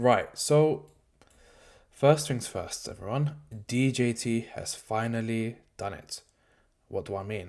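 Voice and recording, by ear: A man talks at a slow pace in a medium pitch. His tone is slightly mellow, with ordinary pitch variation.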